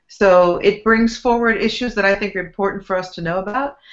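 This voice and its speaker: A woman with an American accent and an ordinary speaking voice, medium in pitch, at a moderate pace. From US West Coast (San Francisco Bay Area). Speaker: author and spiritual teacher. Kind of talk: interview.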